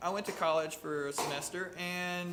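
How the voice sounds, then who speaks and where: Recorded with audible room echo and noticeable background noise, a man with an American accent speaks at a high pitch. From US South, southeast Missouri. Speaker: country musician. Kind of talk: casual interview chat. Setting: newsroom live session.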